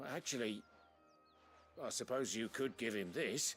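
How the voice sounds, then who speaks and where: Using a put-on character voice, a raspy man speaks at a medium pitch and moderate pace with ordinary pitch variation while music plays clearly in the background. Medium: video game. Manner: wry, understated.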